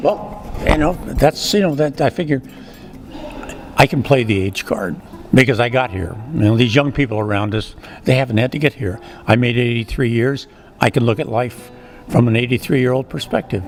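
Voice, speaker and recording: Amid noticeable background noise, a man of medium pitch uses lively intonation at a moderate pace, with long, frequent pauses. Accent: American. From US Midwest, Kansas City, Missouri. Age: 80s+. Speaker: author. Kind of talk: interview. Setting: book awards event.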